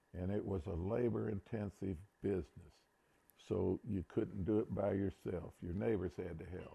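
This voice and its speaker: A man with a very deep, low pitch and a dark, mellow tone speaks at a moderate pace. His voice is somewhat breathy, with ordinary pitch variation. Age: 70s. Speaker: retired teacher and farmer. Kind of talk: interview storytelling.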